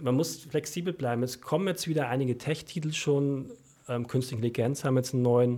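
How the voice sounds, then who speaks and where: In a Franconian accent, a man speaks at a medium pitch with a dark, mellow, somewhat breathy tone. He talks at a fairly quick pace with ordinary pitch variation and very even loudness. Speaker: stock newsletter author. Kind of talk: casual chat. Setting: studio. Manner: mumbling.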